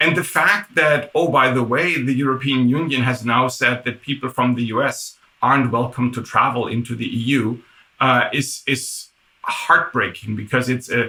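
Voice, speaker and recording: Speaking with a German accent, a man at a medium pitch holds a moderate pace and fairly even intonation. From Germany. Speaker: tech executive. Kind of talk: interview.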